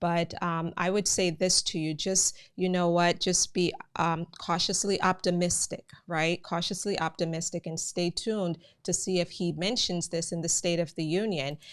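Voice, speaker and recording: In a very clean recording with a silent background, a woman with a slight Jamaican accent speaks at a moderate pace and fairly low pitch, her intonation monotone and flat. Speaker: immigration news channel host. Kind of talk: live stream commentary. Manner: conversational, many filler words.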